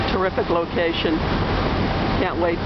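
Moderate pace against loud background noise. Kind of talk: casual vlog chat. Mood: excited, eager to arrive. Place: boat. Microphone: phone near.

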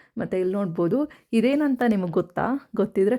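In a very clean recording with a silent background, a woman speaks at a medium pitch in a dark, mellow tone with ordinary pitch variation. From rural Karnataka, Tumakuru district (near Huliyurdurga). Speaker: vlogger. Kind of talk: vlog narration. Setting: outdoors in village farm. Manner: casual, chatty.

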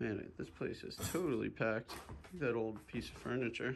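There is light background noise. A man speaks at a fairly slow pace. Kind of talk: casual exploration commentary. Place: home room. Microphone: phone near.

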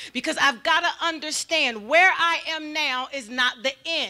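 A woman speaks in a raised, projected voice with a bright, sharp tone. The background is quiet. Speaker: pastor preaching. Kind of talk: sermon. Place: church. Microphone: handheld.

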